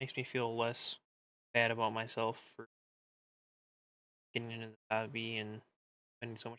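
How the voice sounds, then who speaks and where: A soft-spoken man talks at a moderate pace with medium pitch. His intonation is monotone and flat, broken by long, frequent pauses. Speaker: miniature painting streamer. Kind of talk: casual chat. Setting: live stream.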